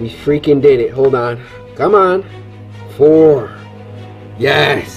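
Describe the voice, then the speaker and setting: A man speaks at a very slow pace with faint music in the background. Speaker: gaming vlogger. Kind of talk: casual vlog chat. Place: home room. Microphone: phone near.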